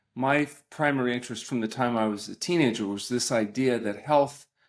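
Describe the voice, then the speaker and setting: A man in an ordinary speaking voice, at a moderate pace with fairly even intonation, on a very clean recording with a silent background. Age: 60s. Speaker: doctor specializing in fasting and nutritional medicine. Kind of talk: podcast interview.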